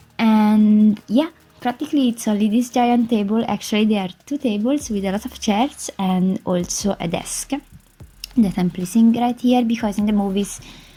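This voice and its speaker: In an Italian accent, a woman speaks at a fairly high pitch. Her tone is dark, mellow and somewhat breathy. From Italy. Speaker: gaming YouTuber. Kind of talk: voice-over commentary on a game build. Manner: hesitant, filler-heavy.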